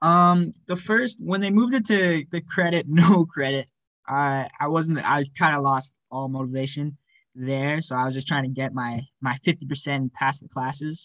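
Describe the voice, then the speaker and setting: A man speaks in a plain, everyday voice, fairly high for a man, with ordinary pitch variation at a moderate pace, the sound dry and close with no echo over a quiet background. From Alberta, Canada (Cochrane). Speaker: university student athlete. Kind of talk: interview.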